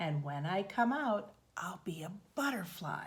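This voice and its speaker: Putting on a character voice, a female-sounding speaker talks at a moderate pace in a medium pitch. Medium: read story. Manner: self-important.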